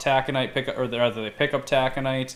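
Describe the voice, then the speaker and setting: A man with a medium pitch speaks with a Minnesota accent. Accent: Minnesota accent, sounds Canadian. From Minnesota, Duluth. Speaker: podcast host. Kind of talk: casual chat. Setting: live stream. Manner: hesitant, many fillers.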